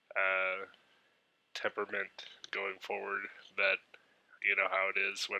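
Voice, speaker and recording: Man with a fairly low pitch and bright, sharp tone, monotone and flat, fairly slow, in a dry, close sound with no echo. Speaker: comic book YouTuber. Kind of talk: casual haul video monologue. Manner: casual with many fillers.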